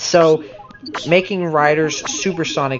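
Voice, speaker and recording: A fairly high-pitched man at a very slow pace with ordinary pitch variation, amid noticeable background noise. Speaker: gaming YouTuber. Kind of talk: casual commentary video.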